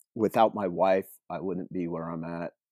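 A man talks at a fairly slow pace in a dark, mellow tone, with a dry, close sound and no echo. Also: very clean recording, silent background. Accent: Pacific Northwest. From rural coastal Oregon, US. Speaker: pro off-road triathlete. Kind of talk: casual interview.

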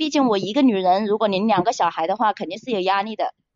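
This woman has an unremarkable speaking voice, pitched fairly high, with lively intonation. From Hunan, China. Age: 30s. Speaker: caller. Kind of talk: personal story on call-in show.

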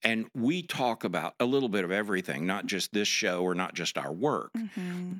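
In a very clean recording with a silent background and a dry, close sound with no echo, a man with a fairly low pitch talks at a moderate pace with hardly any pauses, his pitch swinging very widely. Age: 60s. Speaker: pastor. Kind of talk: casual chat.

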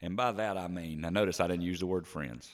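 With a Southern US accent, a man talks at a moderate pace and with ordinary pitch variation. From South Carolina, Spartanburg area. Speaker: podcast co-host. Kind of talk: casual chat.

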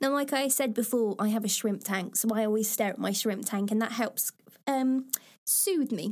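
With an East Midlands accent, this woman talks at very even loudness and with ordinary pitch variation. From England, Lincoln. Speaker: podcast host. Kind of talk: reading aloud with personal commentary.

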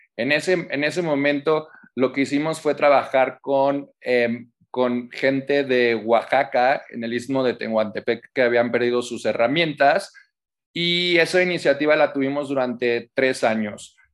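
Against a quiet background, a man with a plain, everyday voice speaks fairly slowly at a fairly high pitch, with ordinary pitch variation. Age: 40s. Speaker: public relations director and activist. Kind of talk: interview.

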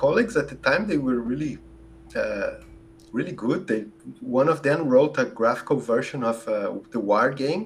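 Against noticeable background noise, a man with a Brazilian accent speaks with long, frequent pauses. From southern Brazil, Rio Grande do Sul. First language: Portuguese. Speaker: computer scientist and optimization researcher. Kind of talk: podcast interview.

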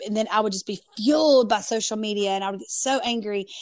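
In a strong Southern US accent, a woman speaks at a fairly quick pace. Her pitch is fairly high, with ordinary pitch variation. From US South, North Carolina. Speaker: pastor and podcaster. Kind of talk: casual interview. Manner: animated.

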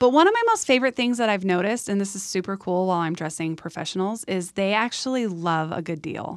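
A woman with an American accent talks at a very fast pace with hardly any pauses. Her pitch varies in an ordinary way. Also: medium pitch for a woman. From San Diego, California. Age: 30s. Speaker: fashion stylist. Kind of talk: casual interview chat.

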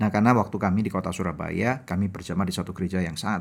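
A man talks at a very fast pace with fairly even intonation on a very clean recording with a silent background. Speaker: podcast host, marriage ministry. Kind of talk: sermon; casual chat.

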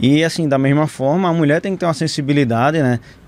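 A man talks at a fairly quick pace in a normal speaking voice. His pitch is fairly high. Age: 30s. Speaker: physician. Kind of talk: casual chat.

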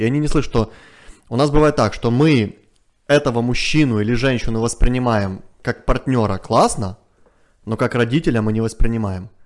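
A man with an unremarkable speaking voice talks at a medium pitch. His pace is fairly quick and his pitch varies in an ordinary way. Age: 30s. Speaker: family psychologist. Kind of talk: interview. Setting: studio.

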